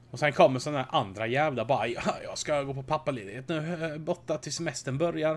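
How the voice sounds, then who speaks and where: A man with a fairly high voice races along very fast with hardly any pauses, ordinary pitch variation and big swings in loudness. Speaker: podcast host. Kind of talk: casual chat.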